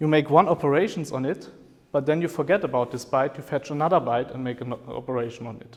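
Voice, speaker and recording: This man has a fairly high-pitched voice and a German accent. His pitch varies in an ordinary way. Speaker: professor. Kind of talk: lecture. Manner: hesitant with fillers.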